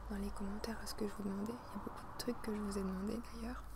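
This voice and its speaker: A soft-spoken woman talks at a very fast pace. Noticeable background noise is present. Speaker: youtuber. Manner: soft-spoken, quiet close voice. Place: garden. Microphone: earbuds.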